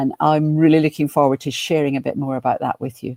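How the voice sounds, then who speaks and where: A woman's very deep, low voice comes through dark and mellow, with a dry, close sound and no echo. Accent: Scottish. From Scotland, Glasgow. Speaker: business coach and professional speaker. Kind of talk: webinar presentation. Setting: online webinar.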